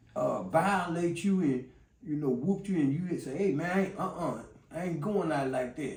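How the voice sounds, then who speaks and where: Noticeable background noise and audible room echo surround this man. He speaks at a moderate pace and a fairly high pitch, with lively intonation. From Chicago, West Side. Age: 60s. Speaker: former gang member. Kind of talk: interview storytelling. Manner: rambling with many fillers.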